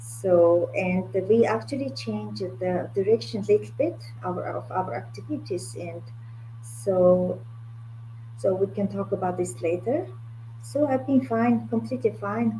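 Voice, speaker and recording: In a Mongolian accent, a woman with a very deep, low pitch speaks at a fairly slow pace with very wide pitch swings over noticeable background noise. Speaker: art curator. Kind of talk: interview conversation. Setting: video call, at home late at night. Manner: halting, many fillers.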